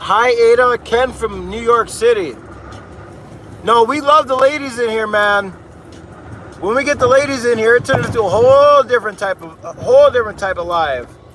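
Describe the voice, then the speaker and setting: A man speaks with an American accent at an extremely high pitch. Noticeable background noise runs behind him. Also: ordinary pitch variation, moderate pace. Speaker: livestreamer plowing snow. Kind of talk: live stream chat reading. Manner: casual, conversational.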